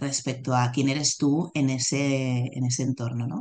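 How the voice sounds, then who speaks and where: A woman's very deep, low voice at a fairly slow pace, against a quiet background. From Barcelona, Spain. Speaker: executive coach. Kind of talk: interview conversation.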